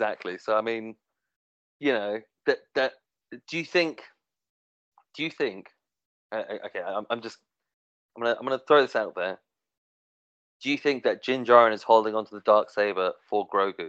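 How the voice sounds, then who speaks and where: At a moderate pace, a man of medium pitch speaks with ordinary pitch variation and long, frequent pauses. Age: 30s. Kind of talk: casual chat. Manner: halting.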